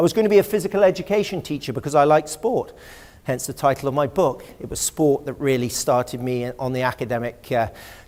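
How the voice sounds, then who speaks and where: Talking very fast with lively intonation, a man with an English accent has a fairly high pitch. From England, West Country (Exmoor). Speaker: historian and lecturer. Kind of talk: public lecture. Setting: auditorium with audience.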